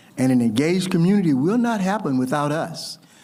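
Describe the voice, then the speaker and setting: With a Southern US accent and a dark, mellow tone, a man speaks at a moderate pace with lively intonation as audible room echo fills the sound. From US South. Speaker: ceremony host. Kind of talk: ceremonial speech.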